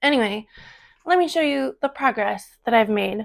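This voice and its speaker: A woman's fairly high voice moves in very wide pitch swings. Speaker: crafting vlogger. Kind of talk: casual vlog chat. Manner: casual with fillers.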